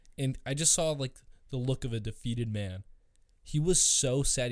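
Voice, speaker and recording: A man talks in an ordinary speaking voice. His pitch sits in the medium range, with ordinary pitch variation. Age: 20s. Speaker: podcast host. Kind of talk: casual chat.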